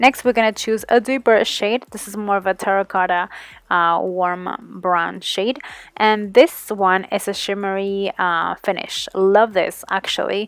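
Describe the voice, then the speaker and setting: A woman with a plain, everyday voice, medium in pitch, fairly even in intonation, at a fairly slow pace. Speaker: beauty vlogger. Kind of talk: makeup tutorial.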